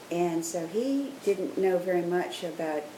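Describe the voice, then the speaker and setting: A woman with an American accent, fairly low in pitch with ordinary pitch variation, amid noticeable background noise and audible room echo. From US South, Charleston, South Carolina. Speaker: grandmother interviewed about her past. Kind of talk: interview.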